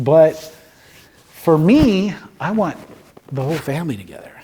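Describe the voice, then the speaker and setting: A man's dark, mellow tone at a fairly high pitch. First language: Spanish. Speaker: cemetery counselor. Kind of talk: informational talk with questions and answers. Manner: conversational, with fillers and repetitions.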